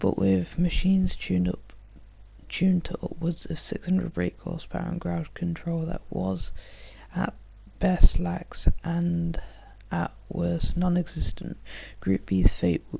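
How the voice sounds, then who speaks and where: Soft-spoken delivery at a fairly slow pace. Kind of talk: ASMR soft-spoken reading of facts.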